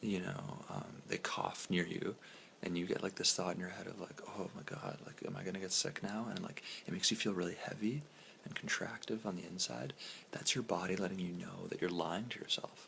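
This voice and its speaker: Over noticeable background noise, a man is whispering. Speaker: vlogger. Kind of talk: casual self-help monologue. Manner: whispery, soft; hesitant, many fillers.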